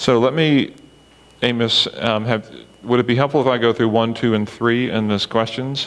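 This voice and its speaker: With very even loudness and fairly even intonation, a man speaks at a moderate pace and medium pitch. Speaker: church meeting facilitator. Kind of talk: group discussion facilitation.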